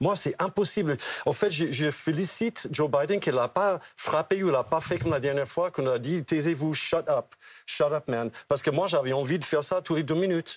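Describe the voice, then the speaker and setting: Speaking at a moderate pace, a man with an American accent has a fairly high pitch and ordinary pitch variation. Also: dry, close sound with no echo. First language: English (speaking French). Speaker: political commentator. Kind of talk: TV panel debate. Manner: animated.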